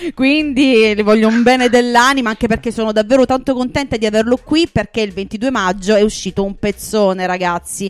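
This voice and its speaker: Hardly any pauses, a fairly quick pace, ordinary pitch variation, and a normal speaking voice. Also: woman, fairly high pitch for a woman. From Puglia, Italy. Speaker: radio host. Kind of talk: casual radio chart show chat. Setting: studio.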